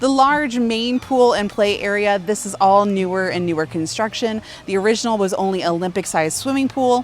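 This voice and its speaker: A woman speaks at a fairly quick pace with hardly any pauses, her animated tone sitting at medium pitch with ordinary pitch variation while music plays in the background. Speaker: Disney vlogger. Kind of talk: vlog with history narration.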